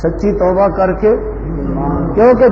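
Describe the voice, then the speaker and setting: Noticeable background noise behind a man speaking with ordinary pitch variation. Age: 60s. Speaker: Islamic scholar and mosque preacher. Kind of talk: religious sermon explanation.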